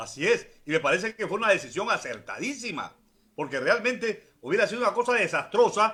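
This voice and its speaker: High male voice, bright and sharp, very fast and raised in projection. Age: 60s. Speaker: politician. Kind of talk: political interview.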